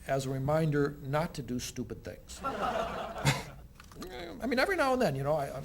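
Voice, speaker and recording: A man with an American accent speaks at a moderate pace with hardly any pauses, amid audible room echo and noticeable background noise. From United States. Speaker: communication professor. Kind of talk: talk show interview.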